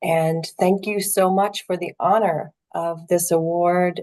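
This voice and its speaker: Very slowly and in a flat monotone, a woman with an American accent speaks at a fairly low pitch. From US Midwest. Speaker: poet, teacher. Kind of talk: acceptance speech.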